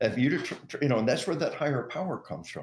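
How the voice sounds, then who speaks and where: In an American accent, a man talks at a very fast pace with vocal fry, a fairly high pitch and very wide pitch swings. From Arkansas, US South. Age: 60s. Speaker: retired army officer and author. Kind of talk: interview.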